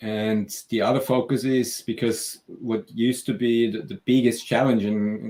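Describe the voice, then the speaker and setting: This man has a slight Austrian accent. He talks at a fairly slow pace. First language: German. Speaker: software company CEO. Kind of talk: interview and product demo.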